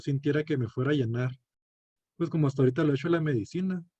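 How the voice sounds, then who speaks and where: In a dry, close recording with no echo, a man talks with fairly high pitch, ordinary pitch variation and a somewhat breathy sound. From northern Mexico, Chihuahua (Cuauhtémoc). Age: 20s. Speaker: medical student. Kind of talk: student class presentation; self-introduction. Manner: hesitant, many fillers.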